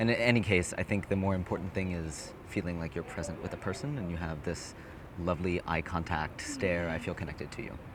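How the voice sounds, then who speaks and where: A man with a very deep, low voice talks at a fairly quick pace with ordinary pitch variation over noticeable background noise. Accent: American. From Hawaii. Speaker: dating coaching student. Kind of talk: street conversation, approaching a stranger. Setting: outdoors in a city square.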